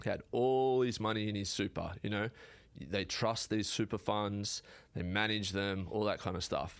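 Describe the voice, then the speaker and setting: In a very clean recording with a silent background, a man with an Australian accent speaks at a moderate pace, his fairly low pitch held in fairly even intonation. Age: 30s. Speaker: carpenter and builder. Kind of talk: casual interview chat. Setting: studio.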